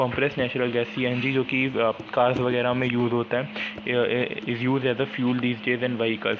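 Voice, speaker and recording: The recording has audible room echo. Noticeable background noise runs underneath. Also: man. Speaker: school science teacher. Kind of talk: lecture. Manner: halting, many fillers and restarts.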